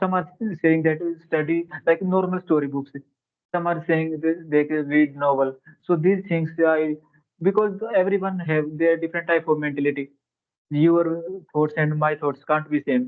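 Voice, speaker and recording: In a Haryana accent, a man with a fairly high pitch speaks at a moderate pace with fairly even intonation. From India, Haryana. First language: Haryanvi. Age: 20s. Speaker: English learner, railway employee. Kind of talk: English conversation practice. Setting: call. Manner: halting.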